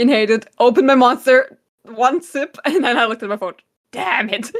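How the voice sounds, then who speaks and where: With a German accent, a woman speaks at a fairly quick pace in a high pitch, showing ordinary pitch variation. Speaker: podcast co-host. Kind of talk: casual chat.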